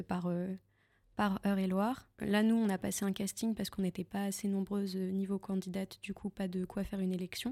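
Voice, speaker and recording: A woman speaks at a moderate pace in a medium pitch with a dark, mellow tone and flat, monotone intonation. The sound is dry and close with no echo, in a very clean recording over a silent background. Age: 20s. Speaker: beauty pageant contestant. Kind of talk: interview. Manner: halting.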